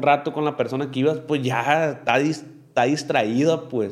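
A man's fairly high-pitched voice holds a moderate pace. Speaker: podcast host. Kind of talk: casual chat. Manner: animated.

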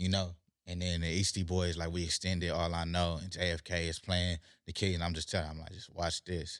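Recorded very cleanly against a silent background, a man with a West Coast US accent speaks in a very deep, low pitch with flat, monotone intonation. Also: fairly quick pace. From Carson, California. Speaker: rapper. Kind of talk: casual chat.

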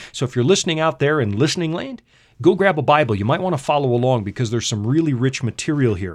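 A man with a Canadian accent speaks at a very fast pace in a medium pitch, his intonation lively. The background is quiet. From Canada. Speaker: radio Bible teacher. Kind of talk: Bible study talk. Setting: studio.

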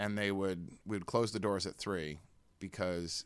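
A man with an American accent speaks at a fairly slow pace in a normal speaking voice. His pitch sits fairly low, and his intonation stays fairly even. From US Northeast, New Jersey. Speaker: vampire culture expert and warlock. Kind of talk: casual interview chat. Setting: studio.

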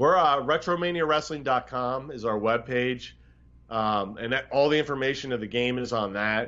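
A man with an American accent and a normal speaking voice talks at a moderate pace, at medium pitch and with fairly even intonation, against a quiet background. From US Northeast. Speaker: video game developer. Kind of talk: casual interview.

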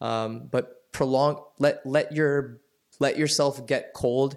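Here is a man with an American accent and a plain, everyday voice. His pitch is fairly high and his intonation fairly even. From US South, suburbs of Atlanta. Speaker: biotech company co-founder. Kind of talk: interview conversation.

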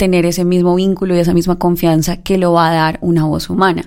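A woman talks very fast in a flat monotone, her pitch fairly low. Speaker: announcer and singer. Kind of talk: live radio panel chat. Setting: radio studio.

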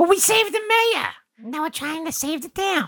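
An extremely high-pitched, put-on character voice speaks at a moderate pace. The recording is very clean, with a silent background. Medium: actual play. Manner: eager, blunt.

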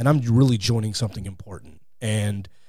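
With an American accent, a man talks at a fairly quick pace in a dark, mellow, somewhat breathy tone. His pitch is medium and his intonation fairly even. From Texas, Fort Worth. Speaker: podcast host, appearing as guest. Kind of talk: interview and religious debate.

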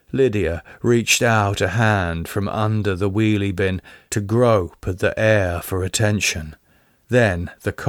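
What we hear is reading aloud of a plain kind.

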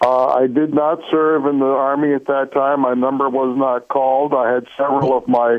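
Over noticeable background noise, a man speaks at a medium pitch in a monotone, flat intonation with very even loudness. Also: moderate pace, hardly any pauses. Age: 70s. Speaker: radio caller. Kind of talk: call-in conversation.

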